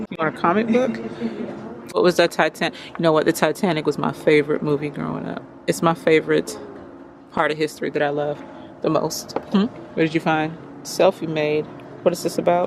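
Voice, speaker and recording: Over noticeable background noise, a woman with a very deep, low voice speaks at a fairly quick pace with ordinary pitch variation and long, frequent pauses. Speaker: vlogger and mother. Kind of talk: casual vlog. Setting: bookstore.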